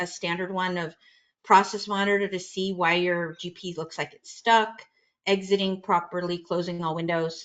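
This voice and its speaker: A woman with an ordinary speaking voice talks at a moderate pace and medium pitch against a quiet background. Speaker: software trainer. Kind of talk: webinar discussion.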